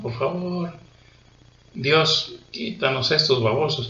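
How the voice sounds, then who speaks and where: A man speaks very slowly with ordinary pitch variation. The room echo is audible, and there is light background noise. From Mexico. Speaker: political commentator. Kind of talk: political monologue. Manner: angry, ranting; hesitant fillers. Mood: indignant, scornful. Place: home room. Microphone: webcam.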